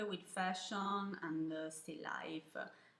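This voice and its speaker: A woman with an Italian accent, fairly low in pitch, monotone and flat, with noticeable background noise and audible room echo. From Italy, Milan. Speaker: photographer. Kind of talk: video interview answering questions. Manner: hesitant, many fillers.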